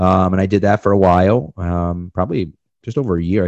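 With a Boston accent, a man speaks in a very deep, low voice. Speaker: podcast co-host and sports writer. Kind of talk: casual chat. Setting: remote podcast interview.

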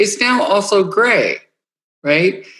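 A woman talks at a very slow pace. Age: 60s. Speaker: podcast co-host. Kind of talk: casual chat. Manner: halting, repeats words.

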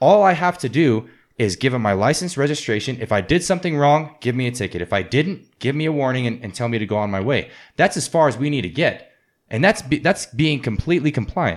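A man with an American accent at a medium pitch, very fast with very wide pitch swings, on a very clean recording with a silent background. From New Orleans, US South. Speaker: amateur MMA fighter. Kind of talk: casual chat.

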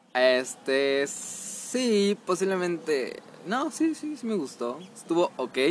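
Amid noticeable background noise, a man with a Mexican accent speaks very slowly at a high pitch, his voice swinging very widely up and down. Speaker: podcast host. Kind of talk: casual chat.

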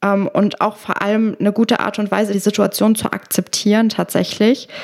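The speaker is a woman whose voice sits at medium pitch. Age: 20s. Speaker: podcast host and show jumper. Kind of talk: casual interview.

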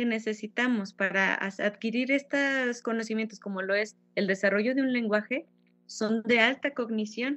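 A woman talks with ordinary pitch variation, keeping a fairly slow pace. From Mexico, Fresnillo, Zacatecas. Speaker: violinist and music teacher. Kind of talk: interview.

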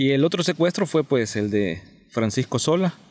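A man speaks with lively intonation. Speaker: podcast host. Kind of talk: casual history discussion.

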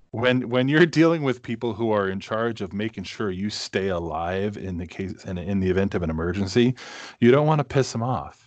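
A man with an American accent speaks in a normal speaking voice at a moderate pace, his fairly low pitch moving in lively intonation over a quiet background. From Massachusetts, New England. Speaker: podcast host. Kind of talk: casual chat.

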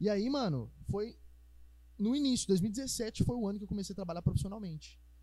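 Delivery moves along rather briskly. The voice has a dark, mellow quality. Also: man, high pitch for a man, ordinary pitch variation. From Minas Gerais, Brazil (Ribeirão das Neves). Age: 20s. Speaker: musician and physics teacher. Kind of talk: casual podcast chat.

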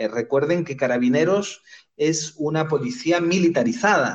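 A man's fairly high voice, an unremarkable speaking voice, moves with ordinary pitch variation. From Spain. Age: 30s. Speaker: human rights lawyer. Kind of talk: interview.

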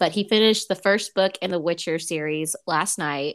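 A fairly quick woman with an American accent and a normal speaking voice, ordinary pitch variation, on a very clean recording with a silent background. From United States, Mexican American. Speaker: podcast co-host. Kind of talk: casual chat.

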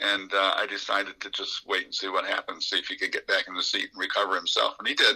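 A man with an American accent at a very fast pace, with hardly any pauses. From upstate New York, Lowville. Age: 70s. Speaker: retired pilot, Navy veteran. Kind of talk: casual interview. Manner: relaxed, some hesitations.

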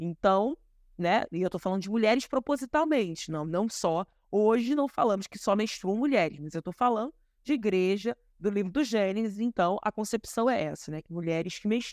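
A woman with a normal speaking voice talks at a moderate pace with lively intonation, in a very clean, dry, close recording with a silent background and no echo. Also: medium pitch for a woman. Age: 30s. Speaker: historian and activist. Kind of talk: interview.

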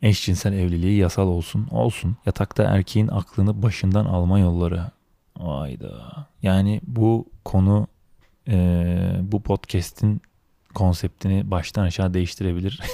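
In a very clean recording with a silent background and a dry, close sound with no echo, a man with a very deep, low pitch and a dark, mellow tone speaks at a fairly slow pace with ordinary pitch variation. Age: 30s. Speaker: solo podcaster. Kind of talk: casual monologue. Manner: improvised, hesitant with fillers.

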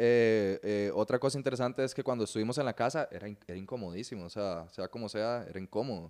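This man rattles along very fast, his pitch varying in an ordinary way. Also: medium pitch for a man, hardly any pauses, very clean recording, silent background. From Venezuela, raised in Costa Rica from childhood. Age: 20s. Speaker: mixed martial arts fighter and jiu-jitsu instructor. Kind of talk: casual chat.

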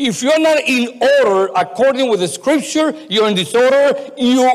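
A man delivers his words at a moderate speed with lively intonation, and noticeable noise can be heard behind him. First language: not English. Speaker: pastor. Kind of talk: sermon. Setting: church. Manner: halting.

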